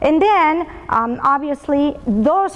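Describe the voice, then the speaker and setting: Over noticeable background noise, a woman with a high voice and a Latin American accent speaks very slowly with lively intonation. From Colombia and Venezuela. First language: Spanish. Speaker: business executive, motivational speaker. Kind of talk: motivational talk.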